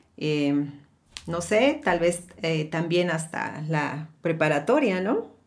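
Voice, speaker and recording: Very slow speech from a woman, fairly low in pitch, with ordinary pitch variation. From Mexico. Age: 50s. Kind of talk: casual chat.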